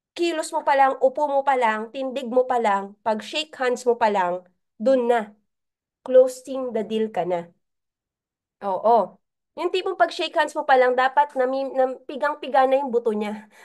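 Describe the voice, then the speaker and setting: Against a quiet background, a woman with a high-pitched voice speaks at a fairly slow pace with lively intonation. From Philippines, Laguna. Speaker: business mentor. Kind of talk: training talk.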